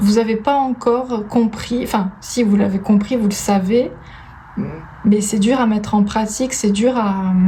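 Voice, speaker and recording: A woman speaks fairly slowly in a fairly high pitch, with fairly even intonation and very even loudness. Audible room echo and noticeable background noise surround her voice. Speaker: tarot reader. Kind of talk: tarot card reading.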